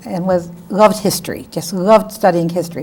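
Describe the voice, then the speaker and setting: With a New England accent, a woman speaks at medium pitch and a moderate pace, her intonation fairly even. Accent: New England American. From Connecticut, Bridgeport. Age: 70s. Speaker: lawyer. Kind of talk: oral history interview.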